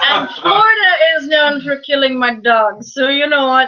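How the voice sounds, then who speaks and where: With a northern US accent, a woman uses a high pitch and a raised, projected voice. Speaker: podcast co-host. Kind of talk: casual chat.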